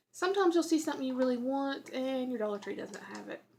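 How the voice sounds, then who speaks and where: A woman with a Southern US accent. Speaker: YouTuber. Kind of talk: tutorial. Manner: casual, chatty.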